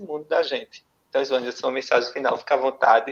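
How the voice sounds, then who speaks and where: This is a man speaking. He has a Pernambuco accent. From Pernambuco, Brazil. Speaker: interviewer, columnist. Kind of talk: interview. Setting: live stream. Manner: relaxed.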